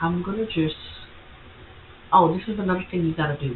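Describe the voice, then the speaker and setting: Speaking with a non-native accent, a woman uses a fairly low pitch and ordinary pitch variation. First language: not English. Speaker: content creator tutorial host. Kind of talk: screen-share tutorial. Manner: casual, halting with self-corrections.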